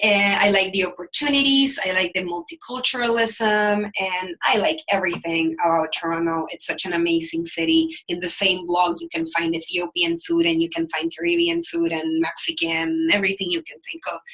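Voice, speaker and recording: Over noticeable background noise, a woman with a Salvadoran accent speaks in a fairly low voice. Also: ordinary pitch variation, moderate pace, hardly any pauses. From El Salvador. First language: Spanish. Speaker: business coach. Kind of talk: webinar presentation. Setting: live online webinar.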